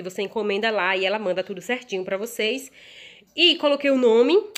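Lively in intonation and animated in tone, a woman speaks at a fairly quick pace with a fairly high pitch. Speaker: cake decorator and video host. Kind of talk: tutorial. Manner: fast.

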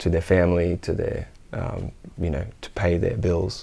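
Speaking fairly slowly in an Australian accent, a man has a very deep, low pitch and a dark, mellow tone. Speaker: musician and music teacher. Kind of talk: interview. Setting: home studio. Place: studio. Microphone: lapel.

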